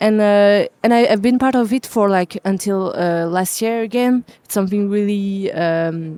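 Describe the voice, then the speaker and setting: A woman's dark, mellow voice at medium pitch, with a French accent, a moderate pace and a dry, close sound without echo. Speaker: jazz musician. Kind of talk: interview. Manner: halting.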